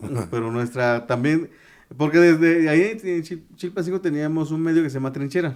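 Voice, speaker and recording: The man's pitch varies in an ordinary way. He talks fairly quickly. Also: fairly high pitch for a man. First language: Tu'un Savi (Mixtec) (speaking Spanish). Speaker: journalist. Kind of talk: interview. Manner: halting, many fillers and restarts.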